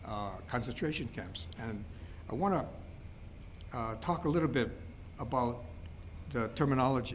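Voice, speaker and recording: Audible room echo carries a man's medium-pitched voice as he speaks at a moderate pace. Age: 70s. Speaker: history professor. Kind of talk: lecture. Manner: halting, many fillers and repetitions.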